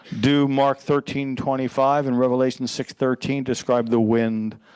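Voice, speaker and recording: A plain, everyday voice at a moderate pace, fairly even in intonation, over a quiet background. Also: man. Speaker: pastor. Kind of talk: sermon.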